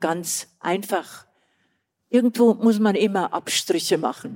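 The voice has a dark, mellow tone, moving at a fairly slow pace with fairly even intonation. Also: woman. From Old Bavaria, southern Germany. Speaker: retired tourism and festival director. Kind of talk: live on-stage interview. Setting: stage with live audience.

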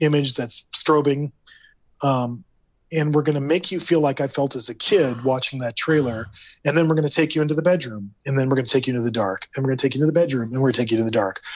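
The speaker talks at a very fast pace with a Californian accent. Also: man, fairly high pitch for a man, ordinary pitch variation. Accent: Californian American. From US West Coast, Los Angeles area. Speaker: theme park creative director. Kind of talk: casual interview.

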